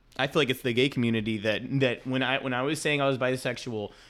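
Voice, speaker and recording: A man with a plain, everyday voice speaks fairly quickly at a medium pitch, his intonation fairly even. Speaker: guest friend. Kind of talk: casual chat between friends.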